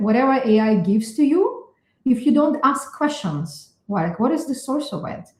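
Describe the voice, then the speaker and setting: A high-pitched woman with a non-native accent, a dark, mellow tone, lively intonation and a moderate pace. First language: not English. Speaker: neuroscientist. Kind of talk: interview. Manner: hesitant, many fillers.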